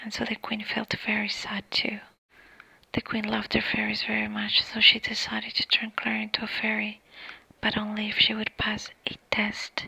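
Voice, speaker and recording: A moderately paced whisper, with background noise clearly present. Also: woman. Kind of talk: ASMR story reading. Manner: soft-spoken.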